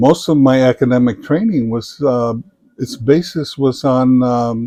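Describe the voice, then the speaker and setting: A man with a Samoan accent, medium in pitch, dark and mellow in tone, with ordinary pitch variation and a very slow pace. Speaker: retired business professor. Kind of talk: interview. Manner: hesitant, many fillers.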